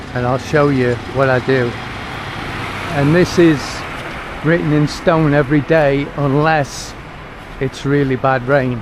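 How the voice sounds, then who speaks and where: With an English accent, the speaker goes at a fairly slow pace with fairly even intonation and long, frequent pauses over noticeable background noise. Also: man, fairly high pitch for a man. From Britain. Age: 60s. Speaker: vlogger. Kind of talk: casual vlog narration. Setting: outdoors walking. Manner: chatty.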